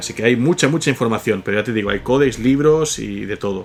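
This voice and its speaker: With a slight Catalan accent, a man talks at a fairly quick pace in a medium pitch. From Catalonia, Spain. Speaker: podcast host. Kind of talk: reading and answering listener comments.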